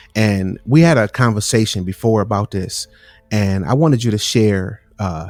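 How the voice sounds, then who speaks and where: Over music in the background, a man speaks at a fairly low pitch with a dry, close sound and no echo. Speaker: podcast host. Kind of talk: casual podcast conversation. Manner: casual, repetitive.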